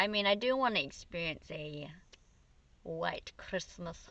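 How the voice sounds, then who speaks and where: A woman with an Australian accent talks in a fairly low register. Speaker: vlogger and singer. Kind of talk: casual chat. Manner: loud; animated.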